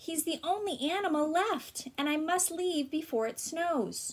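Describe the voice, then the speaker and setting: A woman puts on a character voice with an extremely high pitch, speaking at a moderate pace. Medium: read story.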